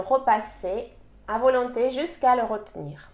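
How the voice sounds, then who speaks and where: In a very clean recording with a silent background, a woman speaks at a high pitch with a Russian accent. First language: Russian (speaking French). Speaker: language teacher. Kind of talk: sales pitch.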